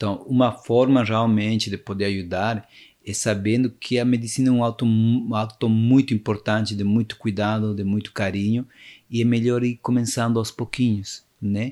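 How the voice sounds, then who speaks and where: Speaking at a moderate pace with a Spanish accent, a man uses a medium pitch, a dark, mellow tone and monotone, flat intonation on a very clean recording with a silent background. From Peru, Cusco (Sacred Valley). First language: Spanish (speaking Portuguese). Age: 40s. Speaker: shaman, medicine man. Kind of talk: interview, spiritual storytelling. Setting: studio, in person.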